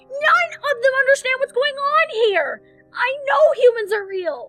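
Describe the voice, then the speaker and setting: Extremely high female-sounding put-on character voice over faint music in the background. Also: moderate pace. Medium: audio drama.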